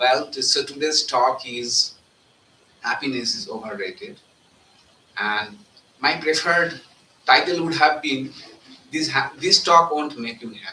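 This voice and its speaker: Against noticeable background noise, a man with a fairly high voice speaks fairly slowly, using lively intonation, big swings in loudness and long, frequent pauses. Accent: Bengali. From India, Bengal. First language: Bengali. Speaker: monk giving spiritual talk. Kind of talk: spiritual talk. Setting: live talk with audience.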